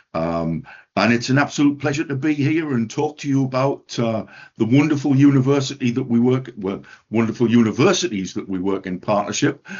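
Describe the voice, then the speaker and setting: A man with a northeast English accent, lively intonation and a moderate pace. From northeast England. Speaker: education centre director. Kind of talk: webinar presentation. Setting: online webinar. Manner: hesitant, many fillers.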